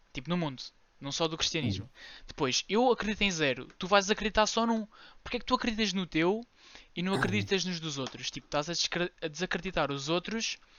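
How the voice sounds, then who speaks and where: A man speaks with a high pitch and lively intonation at a fairly quick pace. His loudness swings widely. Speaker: podcast co-host. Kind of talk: casual chat. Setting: room with window open.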